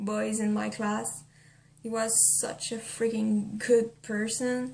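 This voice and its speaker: A woman with a non-native accent talks at a very slow pace and a fairly high pitch over noticeable background noise. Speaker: vlogger. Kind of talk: casual talk to camera. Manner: hesitant, not used to camera.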